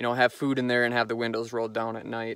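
Dry, echo-free sound of a man speaking. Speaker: vehicle dweller vlogger. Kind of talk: casual vlog chat. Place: open country. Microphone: phone near.

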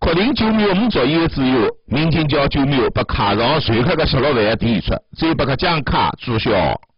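With a Zhejiang accent, a man speaks at a moderate pace in a fairly high, somewhat breathy voice that swings very widely in pitch. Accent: Taizhou dialect. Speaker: TV news reporter. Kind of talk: TV news voice-over narration.

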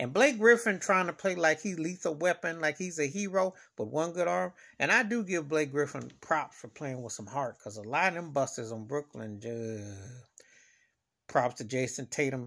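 Against a quiet background, a man with a bright, sharp tone talks at a moderate pace, his pitch swinging very widely and his loudness shifting a lot. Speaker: sports fan vlogger. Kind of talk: casual vlog commentary. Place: home room. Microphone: phone near.

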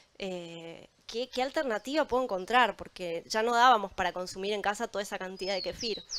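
A woman talks at a fairly quick pace with hardly any pauses, her voice at a medium pitch. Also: ordinary pitch variation. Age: young. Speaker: probiotics entrepreneur; panelist. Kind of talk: panel discussion. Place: waterside. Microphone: handheld.

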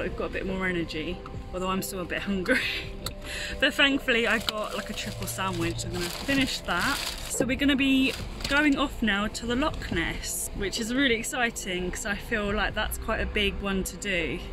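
Clear music plays behind a woman speaking at a moderate pace. The sound is dry, with no echo. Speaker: travel vlogger. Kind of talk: casual vlog chat.

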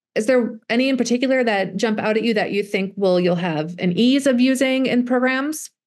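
A woman talks fairly quickly in a fairly high voice, with very even loudness and ordinary pitch variation. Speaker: STEM education specialist. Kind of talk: workshop presentation. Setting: video call. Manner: fast talker.

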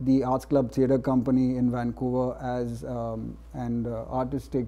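A man's dark, mellow tone with a Gujarati accent. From India. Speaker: playwright and novelist. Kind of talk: panel discussion. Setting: stage with live audience. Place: stage.

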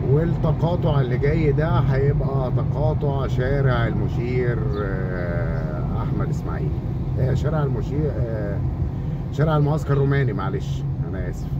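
A man talks at a fairly slow pace against loud background noise. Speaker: channel host. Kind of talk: driving route commentary. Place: car. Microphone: phone near.

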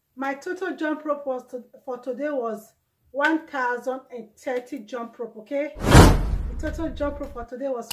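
High in pitch, a woman's voice comes through. Background noise is noticeable. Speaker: fitness vlogger. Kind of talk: casual vlog chat. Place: home room. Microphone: camera far.

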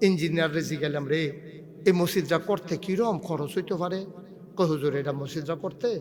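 Against noticeable background noise, the man's high voice shows ordinary pitch variation. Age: 50s. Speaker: Islamic preacher. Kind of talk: sermon. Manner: animated.

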